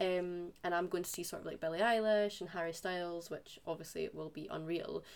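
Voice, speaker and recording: A woman with a Scottish accent, fairly low in pitch, at a fairly quick pace with hardly any pauses and monotone, flat intonation. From Scotland. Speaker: podcast host. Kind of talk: interview.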